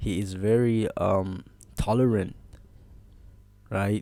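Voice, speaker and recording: A dark, mellow tone in a monotone, flat intonation at a very slow pace, on a very clean recording with a silent background. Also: man. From South Africa, Cape Flats. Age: 20s. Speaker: content creator. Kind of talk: personal story time. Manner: casual, halting with self-corrections.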